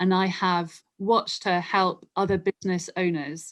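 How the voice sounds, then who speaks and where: This is a woman speaking. She has a London accent. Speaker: marketing group co-founder and copywriter. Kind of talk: interview.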